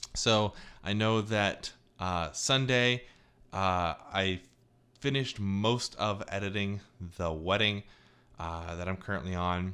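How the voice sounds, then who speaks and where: The speech comes at a very slow pace with long, frequent pauses. The tone is bright and sharp, and the recording is very clean against a silent background. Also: man, fairly low pitch for a man, ordinary pitch variation. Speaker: podcast host and photographer. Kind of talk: casual solo podcast talk. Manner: calmer, lower energy than usual.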